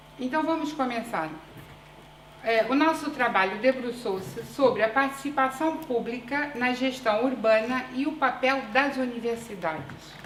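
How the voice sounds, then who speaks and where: Amid noticeable background noise and audible room echo, a woman speaks fairly slowly at a high pitch. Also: ordinary pitch variation. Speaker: urban planning researcher and PhD student. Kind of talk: conference presentation. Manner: deliberately slow; hesitant fillers.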